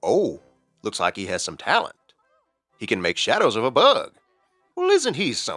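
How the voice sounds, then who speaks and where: Faint music plays in the background under a put-on character voice with a playful tone. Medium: short film. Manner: folksy, playful.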